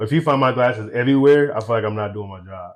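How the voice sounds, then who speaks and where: Loud and fairly quick, a man talks with an American accent. The background is quiet. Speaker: eyewear brand founder. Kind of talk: podcast interview.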